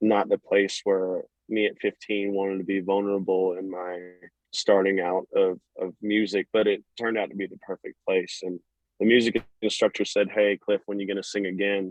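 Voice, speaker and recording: A man speaks with a Southern US accent at a moderate pace. His intonation is flat and monotone. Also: fairly low pitch for a man. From US South, North Florida. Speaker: country singer. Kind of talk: casual interview. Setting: phone call.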